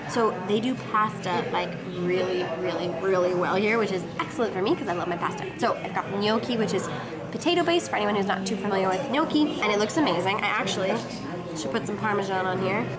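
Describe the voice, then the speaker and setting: A woman talks at a very fast pace with ordinary pitch variation while music plays in the background. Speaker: travel vlogger. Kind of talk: casual vlog chat. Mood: cheerful, enthusiastic. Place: cafe. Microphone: phone near.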